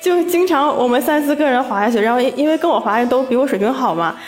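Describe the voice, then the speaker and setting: A woman talks at a fairly quick pace with ordinary pitch variation, amid noticeable background noise and audible room echo. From Northeast China. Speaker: office worker. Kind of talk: casual chat. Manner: animated.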